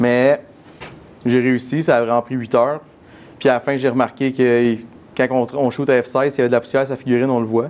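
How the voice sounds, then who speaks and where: A man with a medium-pitched voice talks at a fairly quick clip, his intonation flat and monotone, broken by long, frequent pauses. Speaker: miniature photographer giving a talk. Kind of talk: conference Q&A. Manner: fast.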